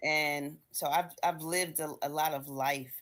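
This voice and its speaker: Her voice is very deep and low for a woman. She speaks in a monotone, flat way. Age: 60s. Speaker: book club member. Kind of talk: casual discussion. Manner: halting.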